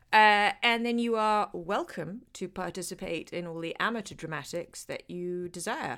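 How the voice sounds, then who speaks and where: Speaking at a moderate pace with a British accent, a woman has a fairly low pitch, a bright, sharp tone and lively intonation on a very clean recording with a silent background. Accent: British English, educated. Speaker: actor. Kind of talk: casual interview chat.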